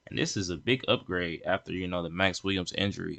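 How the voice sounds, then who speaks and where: Over a quiet background, a man speaks at a very deep, low pitch in a bright, sharp tone. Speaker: sports podcast host. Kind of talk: solo sports commentary. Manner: fast; halting, many fillers and restarts.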